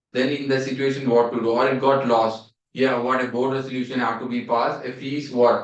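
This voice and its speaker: A man with an Indian accent, medium in pitch, at a moderate pace. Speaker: CA exam teacher. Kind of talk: revision lecture. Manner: repetitive, questioning.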